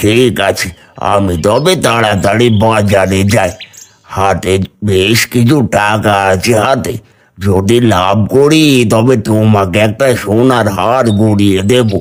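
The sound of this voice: A man puts on a cartoonish character voice at a fairly low pitch. He talks at a very slow pace.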